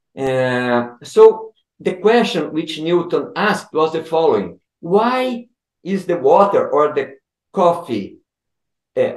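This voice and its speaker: A man with a Portuguese accent talks at a high pitch and a very slow pace, his voice swinging very widely in pitch, with audible room echo over a quiet background. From Brazil. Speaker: physics professor. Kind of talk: interview. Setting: video call. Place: home room. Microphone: video call.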